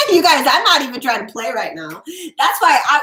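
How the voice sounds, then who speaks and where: A woman's raised, projected voice at a moderate pace, with very wide pitch swings and music in the background. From Florida. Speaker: tarot reader. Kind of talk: live stream tarot readings. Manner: loud; animated.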